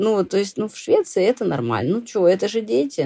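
Her tone is dark and mellow, and this woman's voice shows vocal fry and very wide pitch swings. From Russia, Saint Petersburg. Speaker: blogger and immigrant. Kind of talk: interview, casual chat.

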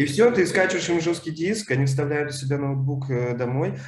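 Man at a medium pitch and moderate pace, lively intonation, with audible room echo and noticeable background noise. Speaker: librarian and podcast host. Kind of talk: casual chat.

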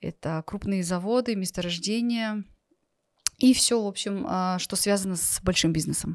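Speaking fairly slowly, a woman uses an ordinary speaking voice and ordinary pitch variation. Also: medium pitch for a woman. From Kazakhstan. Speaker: entrepreneur. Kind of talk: interview. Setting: studio.

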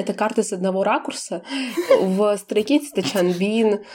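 Noticeable background noise surrounds a woman speaking. Her pitch is medium, with ordinary variation. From Belarus. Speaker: podcast co-host. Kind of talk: casual chat.

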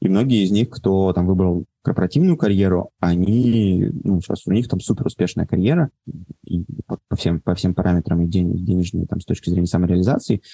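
At a fairly quick pace, a man speaks with a very deep, low pitch, a dark, mellow tone and very even loudness. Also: ordinary pitch variation. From Moscow, Russia. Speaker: entrepreneur, event organizer. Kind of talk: casual interview. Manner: halting.

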